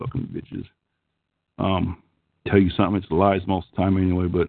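Very fast speech from a man with a very deep, low pitch and an Oklahoma accent. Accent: Okie-like twang. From California, San Joaquin Valley. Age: 50s. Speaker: call-in show host. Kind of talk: casual chat.

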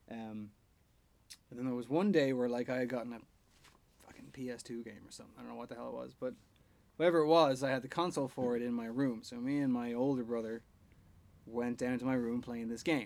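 Talking at a very fast pace in an Irish accent, a man at medium pitch keeps a fairly even intonation while his loudness swings widely and long pauses come often. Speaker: podcast co-host. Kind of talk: casual chat.

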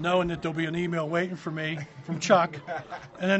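Noticeable background noise behind a man's high-pitched, very fast, monotone and flat delivery. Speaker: software company owner. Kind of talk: casual interview. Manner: relaxed, hesitant fillers.

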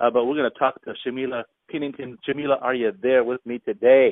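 A man talks at a fairly quick pace. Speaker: pastor and podcast host. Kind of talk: interview. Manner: animated; halting.

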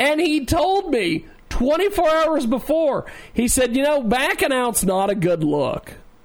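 Talking at a very slow pace, a man with an extremely high voice makes very wide pitch swings while keeping his loudness very even. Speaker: radio host. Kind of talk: live radio show hosting, with a wrestling-promo bit. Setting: studio. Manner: repeats words, stumbles into stutters.

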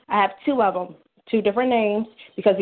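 A very fast voice with an American accent. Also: woman. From Washington D.C. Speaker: caller, mother. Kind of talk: call-in question about custody and birth records. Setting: phone call.

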